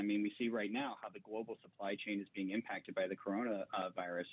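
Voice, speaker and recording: A man with an American accent talks at a very fast pace. His medium pitch holds fairly even intonation. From US South. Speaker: labor organizer. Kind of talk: call-in radio interview.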